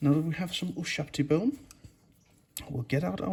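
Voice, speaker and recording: Somewhat breathy, a man with a Danish accent speaks at a fairly high pitch. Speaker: miniature painting youtuber. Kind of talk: tutorial.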